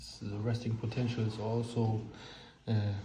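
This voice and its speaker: In an audible room echo, a man with a German accent talks in a monotone, flat intonation. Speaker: hobbyist explaining electronics theory. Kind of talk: informal technical explanation. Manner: halting.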